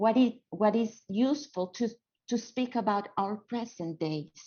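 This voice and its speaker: Somewhat breathy and medium-pitched, a woman with a non-native accent speaks at a fairly slow pace. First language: not English. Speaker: theatre educator. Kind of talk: panel discussion. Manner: halting.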